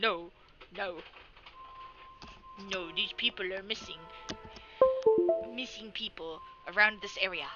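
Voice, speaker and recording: Over loud background music, someone uses a put-on character voice at a middle pitch and moderate pace. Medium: game stream.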